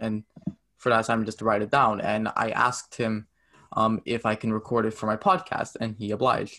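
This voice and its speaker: This man has a normal speaking voice at a medium pitch, with a Canadian accent. His intonation stays fairly even. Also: fairly quick pace. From Canada. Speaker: amateur podcaster.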